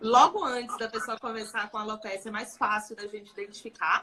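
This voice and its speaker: A woman speaks at a moderate pace while noticeable background noise plays behind her. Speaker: dermatologist. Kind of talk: live stream interview. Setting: Instagram live.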